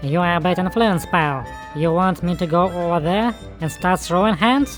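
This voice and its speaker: A put-on character voice at a middle pitch comes through over clear background music. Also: moderate pace. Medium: dub.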